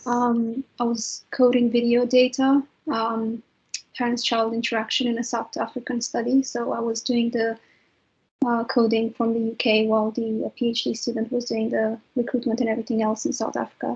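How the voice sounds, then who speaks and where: A woman with a Romanian accent talks at a moderate pace. Her fairly high voice stays monotone and flat. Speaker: trainee clinical psychologist. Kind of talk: webinar panel talk.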